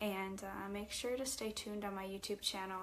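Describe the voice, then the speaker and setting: A woman speaks at a moderate pace in a medium pitch with fairly even intonation. Audible room echo surrounds her voice. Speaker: spiritual teacher and author. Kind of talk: livestream talk to viewers. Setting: livestream. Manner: halting.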